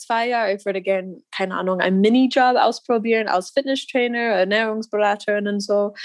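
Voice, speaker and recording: Pitched fairly high, a woman talks with an American accent. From US Midwest, Missouri. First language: English (speaking German). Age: 20s. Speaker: wheelchair basketball player. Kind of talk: interview. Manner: halting, many fillers.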